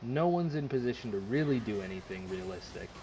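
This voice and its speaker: A somewhat breathy man with a dark, mellow tone, medium pitch, very wide pitch swings and a fairly quick pace. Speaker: video game coach reviewing gameplay. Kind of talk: gameplay replay review.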